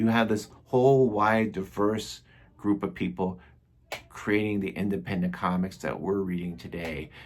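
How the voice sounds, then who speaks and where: A man with an unremarkable speaking voice talks at a moderate pace, his pitch fairly low and its variation ordinary. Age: 60s. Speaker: comics reviewer. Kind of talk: casual video review. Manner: casual, with many fillers.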